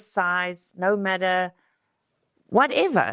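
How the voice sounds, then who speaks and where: On a very clean recording with a silent background, a woman speaks with a South African accent. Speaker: beauty pageant queen. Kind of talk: podcast interview. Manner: halting.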